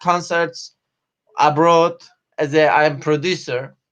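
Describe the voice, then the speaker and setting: A man's high pitch at a very slow pace, monotone and flat, with very even loudness. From Turkey. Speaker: stand-up comedian. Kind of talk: live video interview. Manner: halting.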